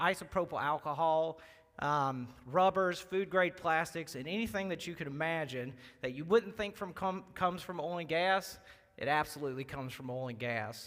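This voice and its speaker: This man speaks with a strong Southern accent at a moderate pace, his high voice bright and sharp, with ordinary pitch variation. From Louisiana (Baton Rouge). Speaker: wealth manager. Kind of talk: presentation. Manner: halting, many fillers.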